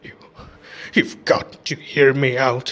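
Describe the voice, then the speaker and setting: The put-on character voice is growling, hoarse and croaky. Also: man, medium pitch for a man. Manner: pleading, urgent.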